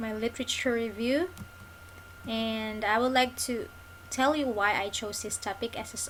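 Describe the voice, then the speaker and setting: A woman's fairly high voice proceeds at a moderate pace. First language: not English. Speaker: graduate student presenter. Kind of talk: academic presentation. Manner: halting, many fillers and restarts.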